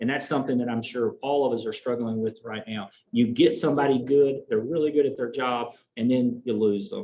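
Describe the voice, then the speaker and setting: Speaking fairly quickly with a Southern US accent, a man uses a medium pitch and ordinary pitch variation. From US South. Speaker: veterinary oncologist. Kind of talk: presentation.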